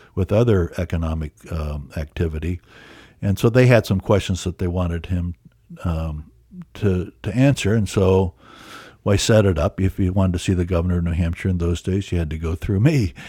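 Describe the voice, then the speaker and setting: Recorded very cleanly against a silent background, with a dry, close sound and no echo, a man with a very deep, low, dark and mellow voice that is somewhat breathy speaks at a moderate pace with ordinary pitch variation. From Iowa, US Midwest. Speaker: documentary filmmaker and historian. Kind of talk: interview. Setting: studio.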